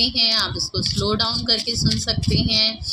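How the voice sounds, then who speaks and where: Over noticeable background noise, a woman with a fairly high pitch speaks fairly slowly with ordinary pitch variation. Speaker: tarot reader. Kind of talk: tarot reading.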